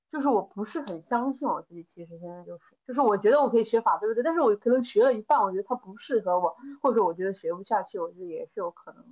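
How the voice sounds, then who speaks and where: A woman talks at a very fast pace with a fairly high pitch. Her intonation is lively, and her loudness swings widely. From Hunan, Changde area. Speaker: event planner. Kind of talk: casual chat.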